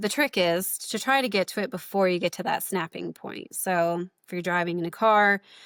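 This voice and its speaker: A woman at medium pitch talks at a moderate pace with ordinary pitch variation and hardly any pauses, the sound dry and close with no echo. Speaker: chiropractor. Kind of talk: interview. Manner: speeds up and pitch rises when talking; many fillers and repetitions.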